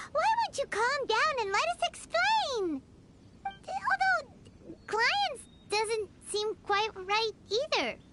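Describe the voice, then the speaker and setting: In a put-on character voice at an extremely high pitch, the speaker talks at a very slow pace over loud background noise. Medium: video game. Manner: excitable, reactive.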